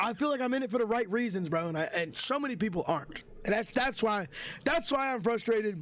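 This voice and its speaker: A loud, animated man with a high pitch and lively intonation at a very fast pace, amid noticeable background noise. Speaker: streamer. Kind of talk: storytime vlog.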